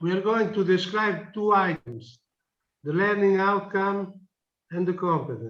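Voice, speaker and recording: A man with a non-native accent speaks at a high pitch and a fairly slow pace, with ordinary pitch variation. He leaves long, frequent pauses. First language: not English. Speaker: project partner in meeting. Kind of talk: online project meeting debate.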